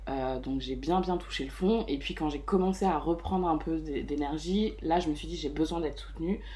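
Speaking at a moderate pace, a woman's voice carries audible room echo. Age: 30s. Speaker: mother living with depression. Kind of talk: personal testimony interview. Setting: host's living room.

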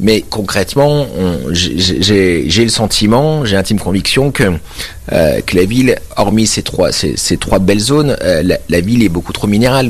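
Noticeable background noise sits behind a man who speaks at a moderate pace with lively intonation. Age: 30s. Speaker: mayor. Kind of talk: radio interview. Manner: halting, many repetitions.

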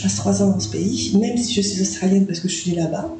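There is music playing behind the speech. A woman talks with audible echo from the room. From New Caledonia. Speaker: podcast guest. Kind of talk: interview. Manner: hesitant, lots of fillers.

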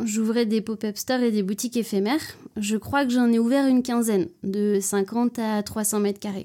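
A woman speaks at a moderate pace with fairly even intonation. Her pitch is fairly high and her tone dark and mellow. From France, Nantes. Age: 30s. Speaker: fashion accessories designer. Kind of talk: interview.

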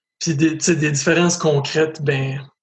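A man speaks fairly slowly. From Canada, northwestern New Brunswick (Acadian French). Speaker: LGBTQ school outreach speaker. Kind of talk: interview testimony. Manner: hesitant, with many repetitions.

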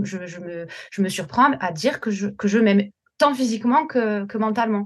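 Her voice sits at a medium pitch and comes out somewhat breathy. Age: 40s. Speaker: teacher, weight-loss coaching client. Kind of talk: casual interview, personal testimony. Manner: halting, many repetitions and fillers.

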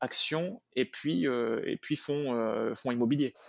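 Against a quiet background, a man with a fairly high pitch and an ordinary speaking voice talks with lively intonation. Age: 30s. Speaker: personal finance expert. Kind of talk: interview.

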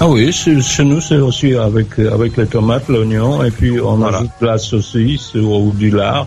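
A man's medium-pitched voice at a fairly slow pace, with hardly any pauses, very even loudness, ordinary pitch variation and music in the background. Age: 60s. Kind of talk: casual chat. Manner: halting.

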